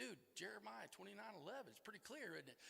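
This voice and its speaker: In a high, bright, sharp voice, a man speaks with an animated tone, raised and projected. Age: 60s. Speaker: recovery meeting speaker. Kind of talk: recovery talk.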